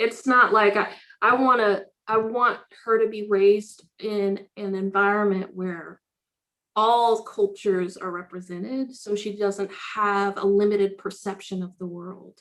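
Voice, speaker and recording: At a fairly slow pace, a woman speaks in a monotone, flat intonation with big swings in loudness. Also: medium pitch for a woman. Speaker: diversity, equity and inclusion advocate. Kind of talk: casual chat.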